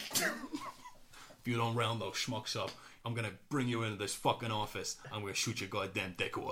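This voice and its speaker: Using a put-on character voice with a raspy, gruff edge, a man speaks at a medium pitch and fairly quick pace with long, frequent pauses over clear background noise. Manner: angry, shouting.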